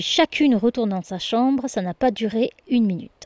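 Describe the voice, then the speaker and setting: Heard dry and close with no echo, a woman speaks at a fairly slow pace. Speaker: boarding school supervisor. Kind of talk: diary reading.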